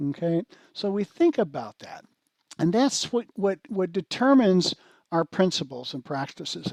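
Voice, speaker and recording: The man's pitch swings very widely as he talks. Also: dry, close sound with no echo. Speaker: conference speaker on agile coaching. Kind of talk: conference talk. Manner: hesitant fillers.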